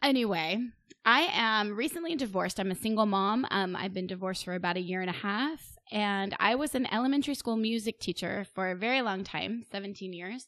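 In an ordinary speaking voice, the speaker moves at a fairly quick pace with lively intonation and hardly any pauses. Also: woman, medium pitch for a woman. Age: middle-aged. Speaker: podcast co-host and blogger. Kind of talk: casual chat.

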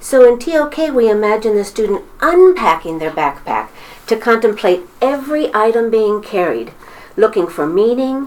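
Noticeable background noise sits behind a woman with a fairly high pitch. She speaks at a moderate pace with very wide pitch swings. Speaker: high school teacher. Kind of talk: interview.

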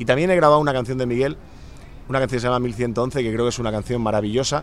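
A medium-pitched male voice with ordinary pitch variation. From Spain, Catalonia (Santa Coloma de Gramenet). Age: 40s. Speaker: singer-songwriter. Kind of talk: radio interview.

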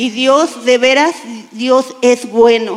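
A high-pitched woman's voice with fairly even intonation over noticeable background noise. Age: 50s. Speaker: church volunteer. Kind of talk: testimony. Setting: church stage with audience.

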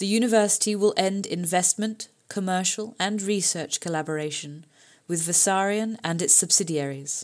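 A woman speaks at a moderate pace in a plain, everyday voice, medium-pitched with ordinary pitch variation, on a very clean recording with a silent background. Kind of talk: press release read aloud, then protest speech. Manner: formal, forceful, declamatory.

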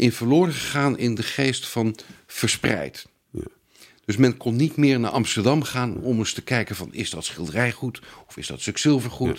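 With vocal fry, a man speaks at a medium pitch and a moderate pace. His pitch variation is ordinary, but his loudness swings widely. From Netherlands, Haarlem area. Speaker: antique silver expert. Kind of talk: interview. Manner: halting.

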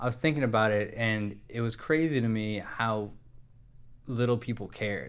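At a moderate pace and medium pitch, a man speaks with ordinary pitch variation in an ordinary speaking voice. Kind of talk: casual chat.

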